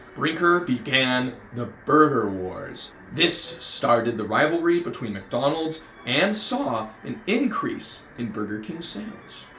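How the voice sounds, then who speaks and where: Over background music and audible room echo, a man with a fairly high pitch talks very slowly, hardly pausing. His pitch swings very widely and his loudness shifts a lot. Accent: American. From United States. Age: 20s. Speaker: YouTuber, fast food reviewer. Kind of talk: scripted commentary video.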